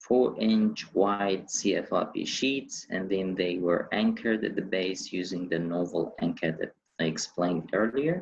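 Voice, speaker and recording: Hardly pausing at all, a man speaks at a fairly slow pace and a fairly low pitch with ordinary pitch variation. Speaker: civil engineering researcher. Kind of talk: webinar lecture. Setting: online webinar. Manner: hesitant with fillers.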